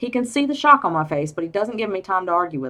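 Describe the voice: Someone reads aloud plainly. The delivery is simple reading.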